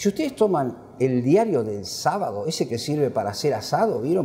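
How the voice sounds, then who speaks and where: Over noticeable background noise, a man speaks at a moderate pace with hardly any pauses, his fairly high pitch making very wide swings. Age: 70s. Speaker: professor. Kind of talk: book presentation lecture. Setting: classroom with audience. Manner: animated.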